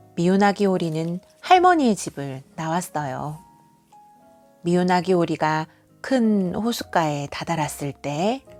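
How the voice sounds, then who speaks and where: A woman's fairly low voice with ordinary pitch variation at a very slow pace, long, frequent pauses, and music in the background. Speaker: kindergarten teacher; award-winning storyteller. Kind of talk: bedtime story reading to a child. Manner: expressive storytelling with character voices.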